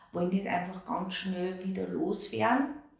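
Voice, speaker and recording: Medium-pitched woman's voice at a fairly slow pace amid noticeable background noise. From Austria, Amstetten (Lower Austria). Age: 50s. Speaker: continence and stoma nurse. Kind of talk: interview.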